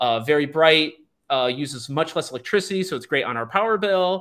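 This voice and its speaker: A normal speaking voice from a man, fairly high in pitch, moderate in pace, with lively intonation, in a very clean recording with a silent background. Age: 40s. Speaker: school district administrator and podcast host. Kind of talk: casual interview.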